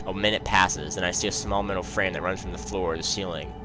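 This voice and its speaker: Over music in the background, a man talks at a fairly quick pace with audible room echo. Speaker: gaming youtuber. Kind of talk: reading aloud.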